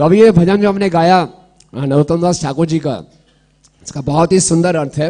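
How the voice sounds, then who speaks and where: This man has a high pitch and a dark, mellow tone, talking at a moderate pace with ordinary pitch variation. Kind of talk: religious discourse. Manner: not loud, voice held back.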